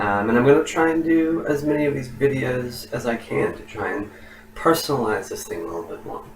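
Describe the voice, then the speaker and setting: A man with an American accent at fairly high pitch, relaxed in tone and fairly quick, with lively intonation and big swings in loudness, amid audible room echo and noticeable background noise. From Oklahoma, US. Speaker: university professor. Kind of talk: lecture. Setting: recorded video for online course. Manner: relaxed with many fillers.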